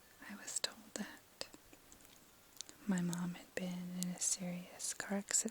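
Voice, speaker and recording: Soft-spoken and flat in a monotone, a woman of medium pitch talks at a fairly slow pace with long, frequent pauses. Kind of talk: ASMR soft-spoken personal story. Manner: soft-spoken, slow.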